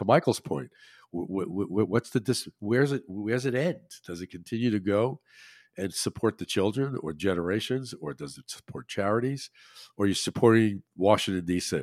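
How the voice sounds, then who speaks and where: Recorded very cleanly with a silent background and a dry, close sound with no echo, a man with an ordinary speaking voice and an American accent talks at a fairly quick pace, his fairly low pitch carrying lively intonation and big swings in loudness. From New Jersey, Monmouth County. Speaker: financial advisor. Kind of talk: interview.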